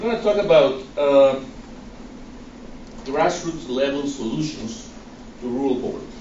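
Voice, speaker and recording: With a strong Guatemalan accent, a man with a fairly high pitch speaks in very wide pitch swings, amid noticeable background noise and audible room echo. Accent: thick Guatemalan Spanish. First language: Spanish. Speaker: nonprofit director. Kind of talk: presentation.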